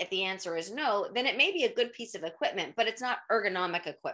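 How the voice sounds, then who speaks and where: The tone is bright and sharp. It belongs to a woman. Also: quiet background. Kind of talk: interview answer. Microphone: webcam.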